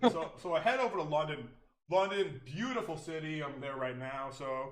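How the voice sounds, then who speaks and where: Audible room echo surrounds a man speaking at a fairly high pitch with an American accent. His tone is animated, his intonation lively, and his pace moderate. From United States. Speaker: streamer. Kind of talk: casual chat.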